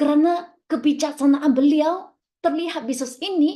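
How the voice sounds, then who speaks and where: The voice has a dark, mellow tone, ordinary pitch variation and a fairly slow pace. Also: woman. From Malaysia. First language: Chinese (speaking Indonesian). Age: young. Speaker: network marketing leader. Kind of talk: motivational speech. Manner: halting.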